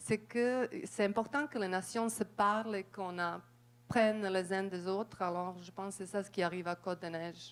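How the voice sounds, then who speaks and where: The speaker talks at a moderate pace with a non-native accent, fairly even intonation and hardly any pauses. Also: woman, medium pitch for a woman. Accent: foreign accent in French. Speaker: audience member, community worker. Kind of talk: audience question, spontaneous remarks.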